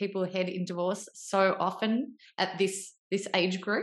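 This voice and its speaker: A woman at a medium pitch and moderate pace, an unremarkable speaking voice, quiet background. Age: 40s. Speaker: podcast host. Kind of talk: interview.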